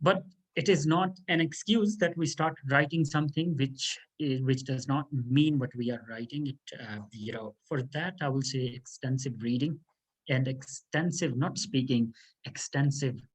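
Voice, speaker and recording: Speaking at a moderate pace with a Pakistani accent, a man has a medium-pitched, somewhat breathy voice and ordinary pitch variation. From Pakistan, South Punjab. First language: Saraiki. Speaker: law lecturer. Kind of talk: interview. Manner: halting.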